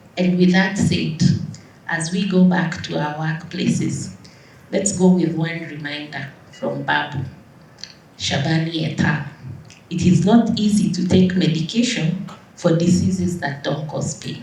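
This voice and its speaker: A woman's fairly low voice with ordinary pitch variation, a fairly slow pace and long, frequent pauses, plus audible room echo and noticeable background noise. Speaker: doctor, conference speaker. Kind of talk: closing conference speech.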